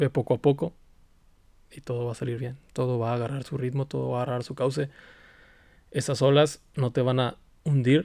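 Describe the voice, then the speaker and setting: At a fairly quick pace, a man talks with long, frequent pauses. His medium-pitched voice has monotone, flat intonation. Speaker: podcast host. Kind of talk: casual monologue. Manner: halting.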